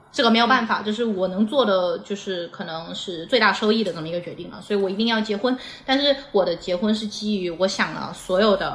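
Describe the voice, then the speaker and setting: The loudness swings widely from moment to moment. Noticeable background noise sits under the voice. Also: woman, medium pitch for a woman, ordinary pitch variation, fairly quick pace, hardly any pauses. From Xiamen, southern Fujian (Minnan). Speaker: former adult products industry worker. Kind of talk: casual chat.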